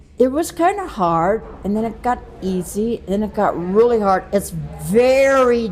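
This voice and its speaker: Noticeable background noise behind a woman of medium pitch, at a fairly slow pace, with lively intonation. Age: 80s+. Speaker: race participant. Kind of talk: casual interview.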